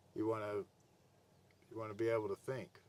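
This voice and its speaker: A man speaks with ordinary pitch variation and a somewhat breathy quality. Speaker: spiritual video blogger. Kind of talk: casual monologue to camera. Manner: halting, repeats words; rambling loose delivery.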